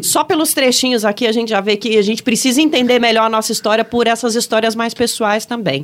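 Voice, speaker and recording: A woman at a very fast pace with hardly any pauses, fairly high pitch, ordinary pitch variation and very even loudness, with noticeable background noise. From Brasília. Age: 40s. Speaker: podcast host. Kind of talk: casual political chat.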